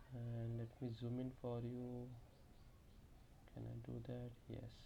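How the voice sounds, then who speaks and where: Audible room echo surrounds the voice. The speech is very slow. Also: man. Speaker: tech tutorial youtuber. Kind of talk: screen-recorded tutorial. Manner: hesitant, many fillers.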